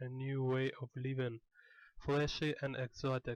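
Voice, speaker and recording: With a non-native accent, a man speaks at a medium pitch in a dry, close sound with no echo. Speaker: artist. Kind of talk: tutorial.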